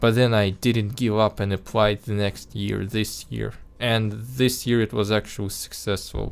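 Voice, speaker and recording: A man speaks at a fairly slow pace in a fairly low pitch, with a non-native accent and flat, monotone intonation. The recording is very clean, with a silent background. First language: not English. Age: 20s. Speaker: animation vlogger. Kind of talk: casual vlog monologue. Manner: halting, many restarts and repeated words; spontaneous, unscripted.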